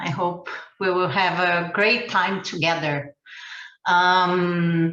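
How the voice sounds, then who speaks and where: Over audible room echo, a woman with a Portuguese accent speaks very slowly at a fairly low pitch with fairly even intonation. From Brazil. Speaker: ecovillage educator and trainer. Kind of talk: webinar presentation.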